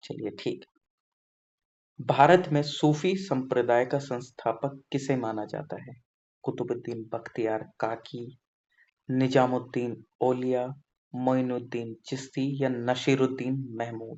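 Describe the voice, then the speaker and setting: A man with a medium-pitched voice, fairly even intonation and big swings in loudness. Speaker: exam prep tutor. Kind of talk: tutorial. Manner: casual, conversational.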